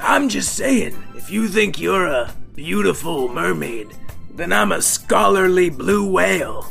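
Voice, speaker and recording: A man uses a put-on character voice that is raspy and croaky. Music plays clearly in the background. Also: fairly slow pace. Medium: audio drama. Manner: snide, sarcastic.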